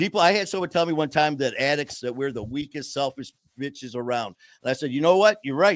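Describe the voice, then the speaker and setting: The voice is animated and very fast, with lively intonation. The recording is very clean with a silent background. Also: man, fairly high pitch for a man. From Detroit, Michigan. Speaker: podcast host, person in recovery. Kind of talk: casual chat. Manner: fast, talkative.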